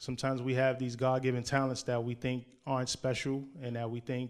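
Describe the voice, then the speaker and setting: Fairly quick and monotone, a man talks at a medium pitch with flat intonation. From New York, Harlem. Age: 30s. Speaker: poet. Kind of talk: interview.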